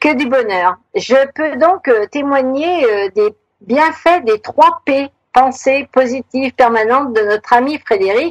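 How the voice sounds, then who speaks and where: Dry and close with no echo, a woman's high-pitched voice moves at a very slow pace with lively intonation. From Savoie, France. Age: 60s. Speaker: retired author. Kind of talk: radio interview. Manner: hesitant, many fillers.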